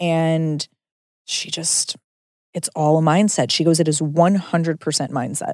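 A woman's unremarkable speaking voice, fairly low in pitch, with fairly even intonation and a dry, close sound with no echo. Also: fairly slow pace. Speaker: podcast host. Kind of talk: casual chat.

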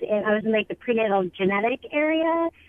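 A woman speaks at a very fast pace with a fairly high pitch. Her pitch variation is ordinary. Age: 40s. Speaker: caller. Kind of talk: call-in question.

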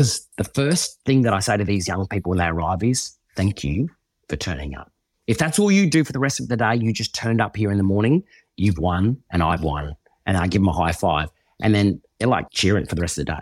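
In a strong Australian accent, a man with a fairly low pitch talks at a fairly quick pace with lively intonation. The recording is very clean, dry and close, with a silent background and no echo. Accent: broad Australian. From Western Queensland, Australia. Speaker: former reality TV contestant and youth program founder. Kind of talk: interview conversation.

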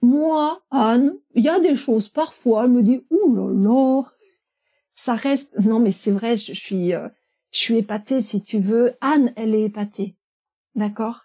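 A woman with a fairly high pitch and a dark, mellow tone speaks at a very slow pace on a very clean recording with a silent background. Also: ordinary pitch variation. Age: 50s. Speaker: animal communicator. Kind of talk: interview. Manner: hesitant.

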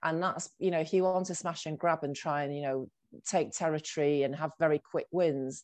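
A woman with a Mancunian accent speaks at a moderate pace in a very deep, low pitch, her intonation fairly even against a quiet background. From Salford, Greater Manchester, northern England. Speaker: agency founder and CEO. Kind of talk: interview.

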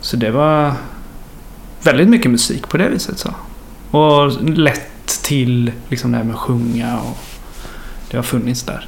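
A man's voice with ordinary pitch variation and long, frequent pauses, amid audible room echo and noticeable background noise. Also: medium pitch for a man, fairly slow pace. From western Sweden (Mark municipality, Västergötland). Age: 20s. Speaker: musician. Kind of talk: casual chat.

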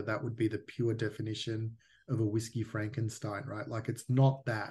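A man talks in an Australian accent, his voice somewhat breathy. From Australia, Melbourne. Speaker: whisky distillery founder. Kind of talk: interview.

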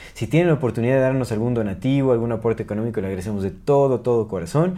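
A man speaks at medium pitch with a Mexican accent and a dark, mellow tone. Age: 30s. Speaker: podcast co-host. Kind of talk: casual chat.

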